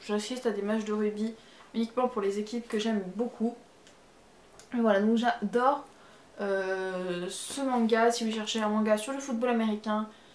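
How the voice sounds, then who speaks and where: At a moderate pace and with fairly even intonation, the speaker talks in a slight Marseille accent, leaving long, frequent pauses over noticeable background noise. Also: woman, fairly high pitch for a woman. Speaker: manga YouTuber. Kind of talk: casual video review. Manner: hesitant, many fillers.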